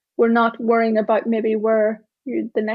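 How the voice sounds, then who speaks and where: A woman speaks at a fairly quick pace with an Irish accent. Her pitch sits fairly high. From Ireland, small town. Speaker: tech diversity speaker and author. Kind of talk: keynote talk. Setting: stage with live audience.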